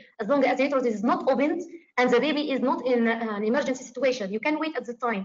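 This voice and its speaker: A woman speaks at a very fast pace in a high pitch, with ordinary pitch variation. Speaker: obstetrics exam tutor. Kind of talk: tutorial. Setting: video call. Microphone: video call.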